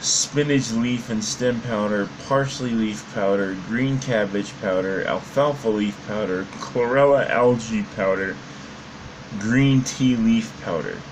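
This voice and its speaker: The man talks at a very slow pace with ordinary pitch variation. Light background noise is present. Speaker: fitness vlogger. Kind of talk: casual vlog chat. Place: home room.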